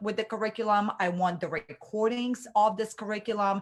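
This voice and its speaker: Pitch moves in an ordinary way, with an animated tone. The speaker has a non-native accent. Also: woman. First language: not English. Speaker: online business coach. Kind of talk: live webinar training. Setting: livestream.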